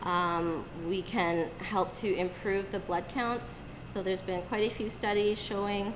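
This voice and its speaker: The speech moves at a fairly slow pace with fairly even intonation, and audible room echo surrounds it. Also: woman, medium pitch for a woman. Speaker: acupuncturist and herbalist presenting to a group. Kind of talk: live presentation. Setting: room with live audience.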